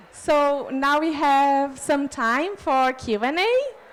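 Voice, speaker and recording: A woman's high-pitched voice with a Brazilian Portuguese accent. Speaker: city official. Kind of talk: conference panel presentation. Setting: conference pavilion. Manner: halting.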